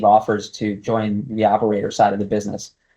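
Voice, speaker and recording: The background stays quiet. A man talks over it at a moderate pace. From New York City, Guatemala and Las Vegas. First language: Spanish. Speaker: casino executive. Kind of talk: interview. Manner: many filler words (um, you know).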